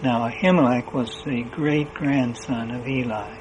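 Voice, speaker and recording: Noticeable background noise accompanies the speaker. He is a man of medium pitch with fairly even intonation. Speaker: lay minister; preacher. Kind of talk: sermon.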